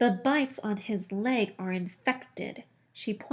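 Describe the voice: Plain reading aloud, pitch shifting in an ordinary way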